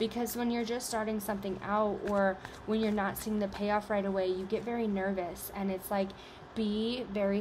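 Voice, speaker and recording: The intonation is monotone and flat. Audible room echo is present. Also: woman. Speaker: tarot reader. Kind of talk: collective tarot reading to camera. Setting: video recording on camera. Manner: halting, many fillers.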